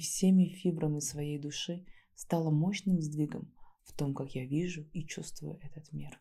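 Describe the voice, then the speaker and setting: At a moderate pace, a soft-spoken woman talks in a very deep, low-pitched voice with a dark, mellow, gentle, somewhat breathy tone and ordinary pitch variation. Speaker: ASMR creator and neuro-body therapist. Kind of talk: soft reflective talk to camera. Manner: soft-spoken, gentle.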